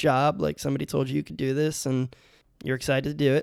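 On a very clean recording with a silent background and a dry, close sound with no echo, a man with a plain, everyday voice speaks fairly quickly at a fairly high pitch. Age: 30s. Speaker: teacher and podcast host. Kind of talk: casual chat.

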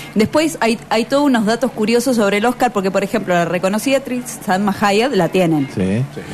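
Music plays in the background as a woman speaks at a fairly quick pace. Her pitch is fairly high and her intonation lively. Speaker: radio co-host. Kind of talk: casual chat.

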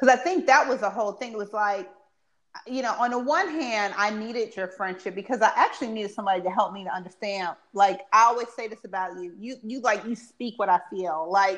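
A woman speaks at a fairly quick pace, her fairly high pitch showing ordinary pitch variation. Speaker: stay-at-home mom. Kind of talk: casual chat. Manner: soft-spoken.

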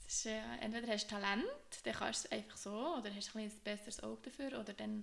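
Noticeable background noise surrounds a woman speaking at a very fast pace. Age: 20s. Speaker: podcast co-host, occupational therapy student. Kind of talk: casual chat.

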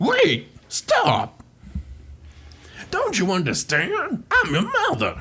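A cartoonish character voice drags along at a very slow pace with long, frequent pauses. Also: man, extremely high pitch for a man. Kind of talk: cartoon villain impression. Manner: shrill, hysterical.

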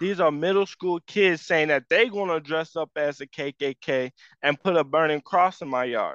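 A man with an American accent and a plain, everyday voice talks at a moderate pace in a fairly high pitch with ordinary pitch variation, the sound dry and close with no echo over a quiet background. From northern Illinois, US. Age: 20s. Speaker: church member. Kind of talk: testimony.

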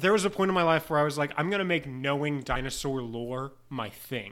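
A man with a plain, everyday voice speaks at a fairly high pitch. His intonation is lively, and he leaves hardly any pauses. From US South. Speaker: podcast co-host. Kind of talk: casual chat. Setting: home recording, laptop mic.

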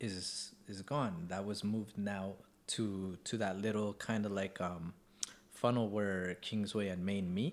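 A man has an ordinary speaking voice, fairly low in pitch. He talks at a fairly slow pace with fairly even intonation. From Canada, East Vancouver. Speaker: podcast host. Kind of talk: casual chat. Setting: on location outside the studio.

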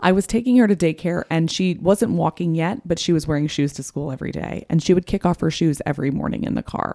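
A woman talks at a very fast pace with a fairly low pitch, a dark, mellow tone and vocal fry. The sound is dry and close with no echo. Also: ordinary pitch variation, hardly any pauses. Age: 30s. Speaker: podcast host on motherhood. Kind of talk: casual interview.

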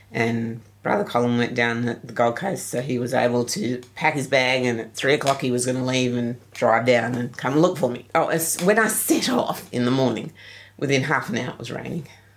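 A woman with an Australian accent speaks in a very deep, low voice at a moderate pace, with ordinary pitch variation, hardly any pauses and noticeable background noise. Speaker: geocacher. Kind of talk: interview.

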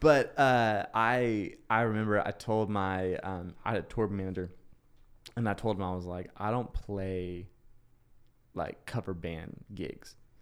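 A man with an unremarkable speaking voice talks at a fairly low pitch and a fairly slow pace. His intonation is fairly even, and the recording is very clean with a silent background. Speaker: podcast host. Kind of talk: casual interview chat.

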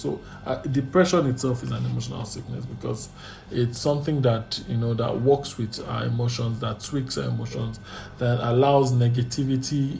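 Over noticeable background noise and audible room echo, a man speaks at a fairly quick pace with medium pitch and ordinary pitch variation. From Nigeria. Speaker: therapist. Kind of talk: casual chat.

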